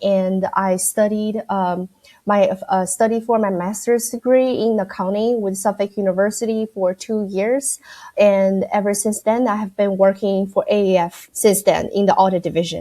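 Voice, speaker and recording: At a moderate pace, a woman with a slight Chinese accent speaks in a dark, mellow tone with fairly even intonation. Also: medium pitch for a woman. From China, Shanghai. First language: Mandarin Chinese. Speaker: accounting firm audit director. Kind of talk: podcast interview. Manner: hesitant, many fillers.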